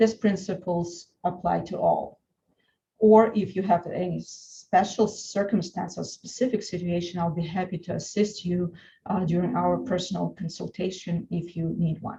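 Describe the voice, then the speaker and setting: Her voice has a dark, mellow tone with vocal fry, as the woman keeps a fairly low pitch and fairly even intonation. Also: moderate pace. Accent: Russian. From Russia (Saint Petersburg). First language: Russian. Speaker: lawyer. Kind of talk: webinar presentation. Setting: online webinar.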